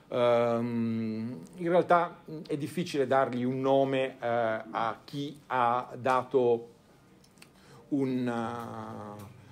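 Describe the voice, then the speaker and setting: The speech moves at a very slow pace with long, frequent pauses, and room echo is audible. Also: man, medium pitch for a man, ordinary pitch variation. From Italy, Turin. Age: 50s. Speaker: financial advisor. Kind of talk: conference talk. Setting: stage with audience.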